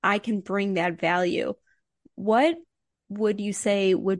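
A normal speaking voice comes at a fairly slow pace with fairly even intonation, in a dry, close sound with no echo and a quiet background. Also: woman. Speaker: podcast host. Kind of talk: interview.

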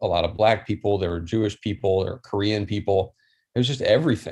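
A man's fairly low, somewhat breathy voice with an American accent, fairly quick and fairly even in intonation, over a quiet background. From Maryland, US. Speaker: army veteran in software sales. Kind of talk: casual interview.

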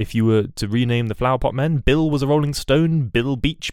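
A man's medium-pitched voice with a British accent and lively intonation. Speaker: podcast host. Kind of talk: solo news bulletin podcast. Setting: home recording, bedroom. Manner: rambling, hesitant, self-correcting.

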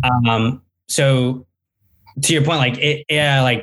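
A man talks in a plain, everyday voice at medium pitch with fairly even intonation. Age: 20s. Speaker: startup founder and CEO. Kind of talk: interview. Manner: casual, many filler words.

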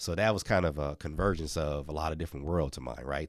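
A man with an American accent, very deep and low in pitch, with vocal fry, at a fairly quick pace, on a very clean recording with a silent background. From Milwaukee, US Midwest. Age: 40s. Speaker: former university mascot and children's author. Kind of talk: interview. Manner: halting with frequent repeats.

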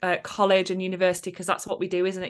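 A woman speaks with an English accent. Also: quiet background. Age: 30s. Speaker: confidence coach. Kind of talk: casual chat.

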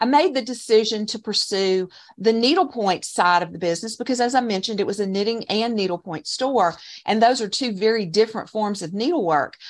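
A woman talks at a moderate pace in a fairly high pitch, with an unremarkable speaking voice. Her intonation is lively, and the background is quiet. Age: 50s. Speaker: online course creator, former shop owner. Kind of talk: interview.

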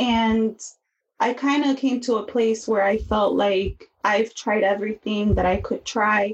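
With an American accent, a woman speaks at a fairly slow pace in a fairly high, somewhat breathy voice, with fairly even intonation and very even loudness. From US Midwest, Chicago. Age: 30s. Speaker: podcast host and counseling student. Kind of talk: interview testimony.

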